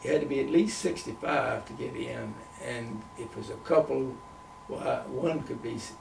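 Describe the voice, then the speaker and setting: There is audible room echo and noticeable background noise in this recording. A man with an American accent speaks at a moderate pace. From US South. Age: 90s. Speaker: retired missionary. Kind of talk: interview.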